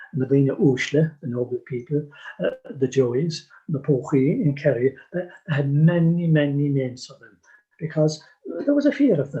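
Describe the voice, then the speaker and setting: A man's fairly high, somewhat breathy voice with a dark, mellow tone, ordinary pitch variation and a moderate pace. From Ireland. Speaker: storyteller and folklore collector. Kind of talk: interview answer.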